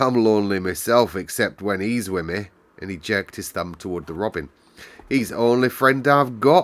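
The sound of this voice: The clip features an unforced reading voice. Pitch variation is ordinary.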